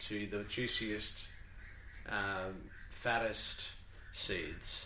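A medium-pitched man with an Australian accent, over noticeable background noise. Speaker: podcast host. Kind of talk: casual, chatty.

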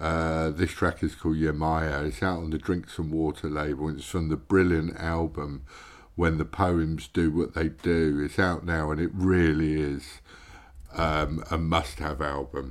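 In a very clean recording with a silent background, a speaker with a British accent talks at a fairly slow pace in a relaxed tone with monotone, flat intonation. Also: man, very deep, low pitch for a man. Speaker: radio host. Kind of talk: radio show presenting. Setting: radio studio broadcast. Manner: relaxed, casual, hesitant with fillers.

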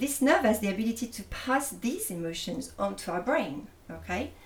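Through noticeable background noise, a woman with a French accent speaks at a fairly slow pace with lively intonation. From France. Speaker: holistic therapist. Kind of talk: interview. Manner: hesitant, with fillers.

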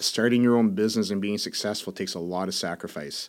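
A man with a fairly low pitch uses an unremarkable speaking voice and fairly even intonation, on a very clean recording with a silent background. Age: 40s. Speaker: business owner and coach. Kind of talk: interview. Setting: studio.

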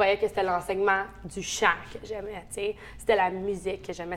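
A woman's flat, monotone intonation runs at a medium tempo. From Ontario, Orléans. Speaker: singing teacher and music school owner. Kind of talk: casual interview.

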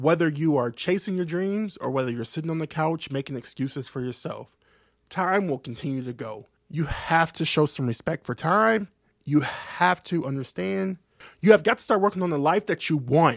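A man with an unremarkable speaking voice, fairly high in pitch, talks at a moderate pace with lively intonation in a very clean recording with a silent background and a dry, close sound with no echo. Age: 20s. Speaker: podcast host. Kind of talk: solo monologue podcast. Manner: casual, conversational.

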